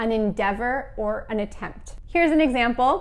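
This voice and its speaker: The speaker talks at a fairly slow pace with lively intonation and an American accent. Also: woman. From United States. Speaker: English teacher. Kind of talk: educational lesson to camera. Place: home room. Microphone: lapel.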